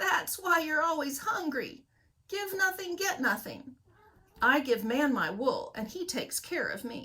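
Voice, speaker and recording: A woman puts on a character voice at a high pitch with very wide pitch swings. Her pace is moderate. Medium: read story.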